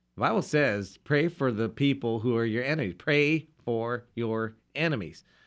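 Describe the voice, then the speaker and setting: In an unremarkable speaking voice, a man talks at a moderate pace and medium pitch with ordinary pitch variation and hardly any pauses. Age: 50s. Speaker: pastor. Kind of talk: religious radio discussion.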